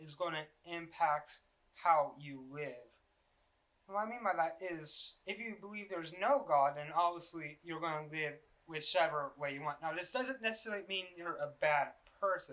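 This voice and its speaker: A man's high-pitched, mumbling voice with a bright, sharp tone, ordinary pitch variation and big swings in loudness. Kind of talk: casual unscripted vlog talk.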